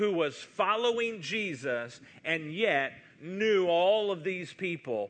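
The speaker reads in a natural voice, the intonation bright and lively.

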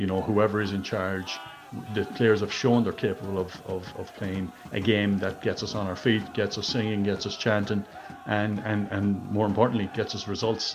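Speaking with an Irish accent at a moderate pace, the voice stays monotone and flat over noticeable background noise. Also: man, fairly low pitch for a man. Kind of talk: voice note message. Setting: recorded voice note.

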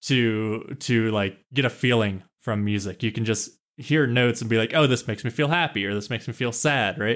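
In an American accent, a man with an ordinary speaking voice talks at a fairly quick pace with hardly any pauses, medium pitch and ordinary pitch variation on a very clean recording with a silent background. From US Midwest, Kansas small town. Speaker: podcast co-host. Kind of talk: casual chat.

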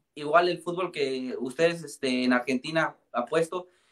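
A man speaks in a Mexican accent with a high pitch. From Mexico. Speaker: podcast co-host. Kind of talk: casual chat.

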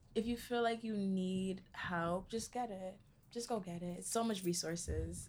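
A woman with an American accent speaks in an unremarkable speaking voice. Her pitch is medium and her intonation fairly even. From New York City, the Bronx. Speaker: college student. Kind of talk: interview.

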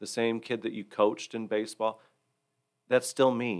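With an American accent, a man talks at a moderate pace in an unremarkable speaking voice, his pitch medium and his intonation fairly even. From Michigan, Hillsdale County. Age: 40s. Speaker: church board member. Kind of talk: personal testimony in interview.

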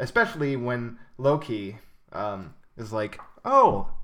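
The speaker is a man. His voice rests at a medium pitch. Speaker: podcast host. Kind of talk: casual chat.

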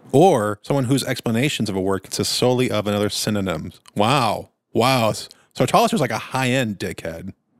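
A man speaks in a plain, everyday voice at medium pitch with lively intonation. The recording is very clean, with a silent background. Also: fairly quick pace. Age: middle-aged. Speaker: podcast co-host. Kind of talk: casual chat.

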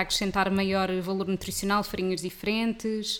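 This woman talks at a medium pitch with monotone, flat intonation. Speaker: podcast host. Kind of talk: scripted intro; casual interview chat.

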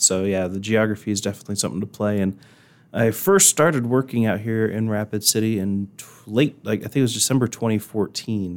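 This man speaks with a Midwestern American accent. His pitch sits fairly low. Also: fairly even intonation, fairly quick pace. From Indiana. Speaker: TV meteorologist. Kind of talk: casual interview.

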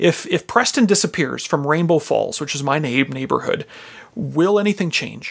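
Speaking with a Canadian Prairie accent, a man uses a fairly high pitch, ordinary pitch variation and a moderate pace. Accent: Canadian English (prairies). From Canadian prairies (Regina, Saskatchewan). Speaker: pastor and beekeeper. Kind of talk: casual interview.

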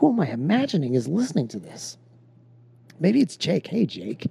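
Vocal fry runs through a man's speech in an American accent, with very wide pitch swings. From Texas. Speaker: podcast host. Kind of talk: casual chat; solo monologue. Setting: in bed. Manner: halting.

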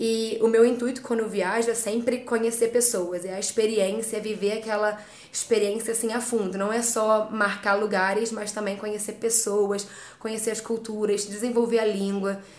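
Over noticeable background noise and audible room echo, a woman speaks at a moderate pace in a fairly high pitch with monotone, flat intonation. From Rio de Janeiro, Brazil. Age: 20s. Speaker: travel blogger. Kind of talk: interview. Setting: studio.

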